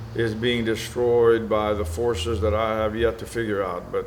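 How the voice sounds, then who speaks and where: Audible room echo accompanies speech delivered at a moderate pace. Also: man. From Venezuela, then US Gulf Coast. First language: Spanish. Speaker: military veteran and businessman. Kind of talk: interview. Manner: opinionated, emphatic.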